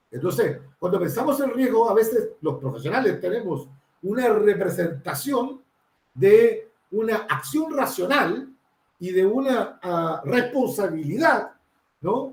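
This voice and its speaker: Speaking at a very slow pace, a man with a high pitch sweeps through very wide pitch swings. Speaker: researcher and consultant on drug prevention. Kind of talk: panel talk. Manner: hesitant, many fillers.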